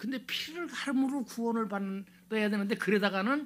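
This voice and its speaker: A loud man at a fairly slow pace. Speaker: pastor. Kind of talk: sermon.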